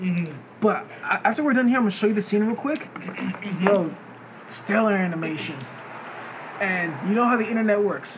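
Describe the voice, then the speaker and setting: A man with an American accent speaks in a high pitch at a moderate pace, with ordinary pitch variation. He takes long, frequent pauses, and noticeable background noise is present. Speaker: podcast host. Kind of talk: casual banter podcast chat.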